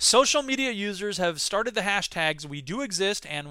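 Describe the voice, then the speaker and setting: On a very clean recording with a silent background and a dry, close sound with no echo, a man with an American accent projects a raised voice at a high pitch, fairly quick pace, lively intonation, and a bright, sharp tone. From US Midwest. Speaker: podcast host and educator. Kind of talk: solo monologue podcast. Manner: fast talker; loud, animated.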